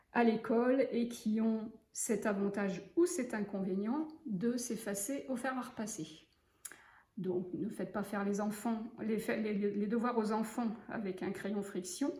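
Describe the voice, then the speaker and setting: At a very slow pace, the voice has a relaxed tone and ordinary pitch variation, with audible room echo. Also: woman. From western France, Loire-Atlantique. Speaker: sewing teacher. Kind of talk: tutorial. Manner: relaxed, hesitant with fillers.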